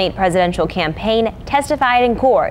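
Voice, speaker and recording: Over noticeable background noise, a woman speaks at a fairly high pitch. Her pace is fairly quick, and her pitch variation is ordinary. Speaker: news anchor and reporter. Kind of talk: TV news read. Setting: studio.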